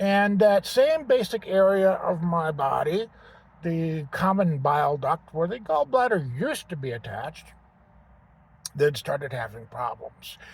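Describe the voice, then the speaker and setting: Speaking at a fairly slow pace, a man with a high pitch makes very wide pitch swings. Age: 60s. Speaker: vlogger. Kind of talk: personal testimony vlog. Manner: casual, hesitant with fillers.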